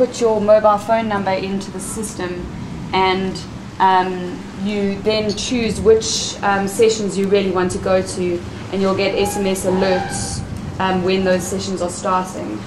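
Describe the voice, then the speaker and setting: With noticeable background noise and audible room echo, a woman talks at a fairly slow pace in a medium pitch, her intonation fairly even. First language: not English. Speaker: workshop participant presenting group plan. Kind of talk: group presentation.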